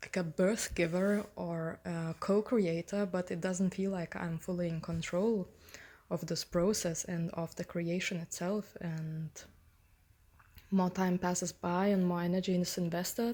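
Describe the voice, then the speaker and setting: A woman with a non-native accent speaks at a fairly slow pace. Her tone is dark and mellow, and her intonation is monotone and flat. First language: not English. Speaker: author. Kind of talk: personal reflection on own book. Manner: hesitant, many fillers.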